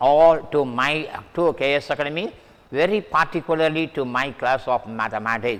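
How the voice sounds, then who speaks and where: A man talks in a fairly high pitch. His pitch moves in an ordinary way. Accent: Indian. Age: 70s. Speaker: math teacher. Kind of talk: lecture. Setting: online class recording with mic.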